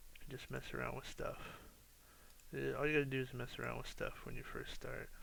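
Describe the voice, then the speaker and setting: A man talks at a fairly quick pace in a tired tone. Audible room echo is present. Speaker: architecture student making software tutorials. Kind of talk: tutorial. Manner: sounds tired, low energy; hesitant, many fillers.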